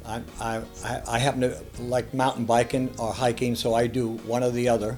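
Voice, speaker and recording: A man with an American accent speaks at a moderate pace. Music plays in the background. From Boston. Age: 80s+. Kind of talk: interview answer.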